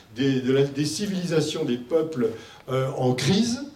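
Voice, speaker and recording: A man talks at a moderate pace in a fairly high pitch with lively intonation. Noticeable background noise and audible room echo are present. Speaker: medical doctor and expert speaker. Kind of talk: conference presentation. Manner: loud; hesitant with fillers.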